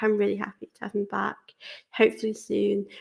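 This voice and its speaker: Fairly quick speech from a woman with an English accent. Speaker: football fan channel host. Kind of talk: casual Q&A chat to camera.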